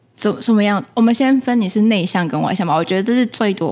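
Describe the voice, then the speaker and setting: A woman uses a normal speaking voice at a mid-range pitch, talking somewhat fast with typical pitch movement. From Taiwan. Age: young. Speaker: podcast co-host, NGO manager. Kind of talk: casual chat. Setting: closed cafe after hours.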